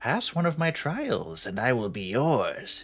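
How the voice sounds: A man puts on a raspy character voice pitched fairly high. He delivers it at a fairly slow pace.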